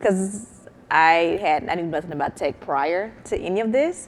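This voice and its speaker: A woman speaks with a Southern US accent. Her pitch sits fairly low. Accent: Southern country accent, persistent. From US South, Mississippi. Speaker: startup founder. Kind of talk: panel discussion.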